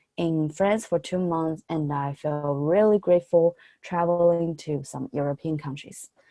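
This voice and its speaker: A woman with a Chinese accent talks at a moderate pace in a fairly low, dark, mellow voice with ordinary pitch variation. The sound is dry and close with no echo. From mainland China. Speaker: college student. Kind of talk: presentation. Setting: video call.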